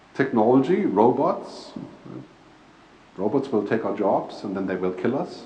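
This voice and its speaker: The speech moves at a fairly slow pace with lively intonation. Audible room echo surrounds it. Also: man. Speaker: futurist speaker and author. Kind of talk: keynote talk. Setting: stage with audience and PA system, live interpreter.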